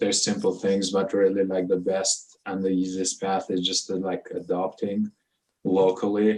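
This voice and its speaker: At a moderate pace, a man with a non-native accent speaks in a very deep, low pitch and a monotone, flat intonation. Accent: noticeable foreign. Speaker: immigrant panelist. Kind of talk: panel discussion.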